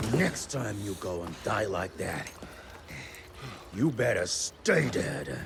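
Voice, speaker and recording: A man's put-on character voice at a very slow pace, with long, frequent pauses over clear background noise. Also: fairly low pitch for a man. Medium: video game. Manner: gruff, blunt.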